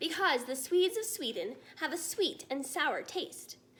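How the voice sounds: Using a put-on character voice, a woman speaks at a fairly slow pace with a high pitch, big pitch swings and a fairly bright tone.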